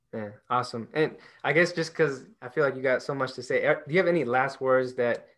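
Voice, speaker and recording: A man with an ordinary speaking voice talks at a fairly quick pace in a medium pitch. His intonation stays fairly even against a quiet background. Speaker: podcast host. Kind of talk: interview conversation.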